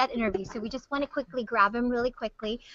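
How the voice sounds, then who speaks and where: A woman speaks at a high pitch with ordinary pitch variation. The recording is dry, with no echo. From Hawaii. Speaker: TV news host; news host. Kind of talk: casual chat. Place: office. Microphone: webcam.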